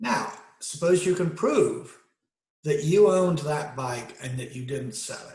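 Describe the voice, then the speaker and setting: A man speaks in a somewhat breathy, fairly high voice with ordinary pitch variation. His pace is fairly slow, and the room echo is audible. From Great Britain. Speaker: video essayist. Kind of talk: monologue lecture. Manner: halting, many fillers.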